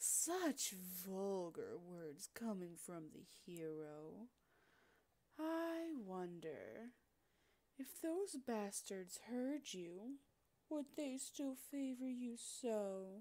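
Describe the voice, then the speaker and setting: A woman puts on a character voice at a fairly high pitch, speaking at a very slow pace with very wide pitch swings and long, frequent pauses. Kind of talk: roleplay audio, yandere villain. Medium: audio drama. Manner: teasing, sweetly menacing, possessive.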